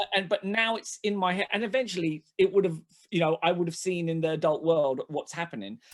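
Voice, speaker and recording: A man with a high pitch talks at a fairly quick pace in a London accent, with ordinary pitch variation. The sound is dry and close with no echo. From London (Hackney), England. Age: 40s. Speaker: comedian. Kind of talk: casual chat. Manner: halting.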